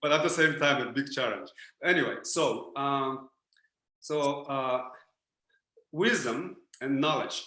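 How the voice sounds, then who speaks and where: The tone is bright and sharp, with ordinary pitch variation and audible room echo. The pace is fairly slow, broken by long, frequent pauses. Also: man, fairly high pitch for a man. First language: Japanese. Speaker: spiritual teacher. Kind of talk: lecture. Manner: halting.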